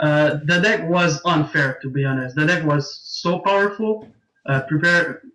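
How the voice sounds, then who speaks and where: This man has a French Canadian accent and a high pitch, with ordinary pitch variation. He talks at a fairly slow pace with very even loudness. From Quebec, Canada (Montreal). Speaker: competitive card game player. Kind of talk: casual interview. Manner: hesitant, many fillers.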